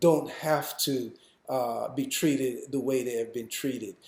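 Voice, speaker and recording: In a room with audible echo, a man speaks at a fairly high pitch with monotone, flat intonation. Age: 60s. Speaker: raw food educator. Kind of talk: lecture. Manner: halting.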